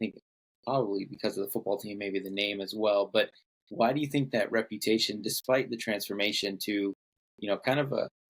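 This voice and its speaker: In a normal speaking voice, a man with fairly low pitch speaks at a fairly quick pace with fairly even intonation. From California, Bay Area. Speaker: podcast host. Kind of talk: podcast interview.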